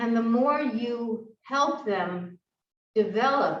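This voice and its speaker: A woman speaks with ordinary pitch variation. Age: 70s. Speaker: fitness instructor. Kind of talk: exercise class instruction. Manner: halting.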